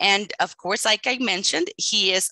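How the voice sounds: Bright, sharp tone in a dry, close recording with no echo. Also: woman.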